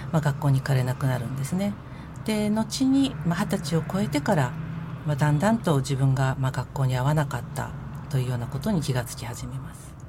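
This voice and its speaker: A woman with a very deep, low pitch and lively intonation, at a fairly quick pace over noticeable background noise. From Tokyo, Nerima ward. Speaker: head of a support group, former social recluse. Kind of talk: radio interview.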